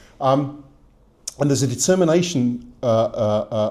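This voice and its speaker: A man's dark, mellow voice moves at a moderate pace. Audible room echo surrounds it. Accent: British. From Britain. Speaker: academic lecturer. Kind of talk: lecture. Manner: halting, many fillers.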